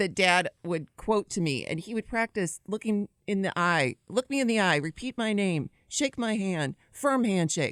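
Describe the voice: A woman speaks at a moderate pace with lively intonation and a medium pitch, her sound dry and close with no echo. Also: few pauses.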